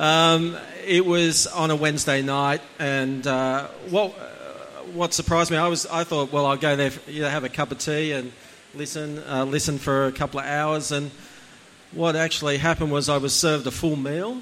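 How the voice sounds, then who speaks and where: Man with a fairly high pitch, fairly even intonation, and a moderate pace. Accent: Australian. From Australia, Central Coast NSW. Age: 40s. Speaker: church attendee sharing testimony. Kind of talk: testimony. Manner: halting.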